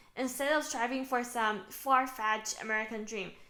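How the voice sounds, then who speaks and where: A woman speaks at a moderate pace in a high, bright, sharp voice with fairly even intonation. The room echo is audible. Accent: Chinese. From China. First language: Mandarin. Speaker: author. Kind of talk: book promotion talk.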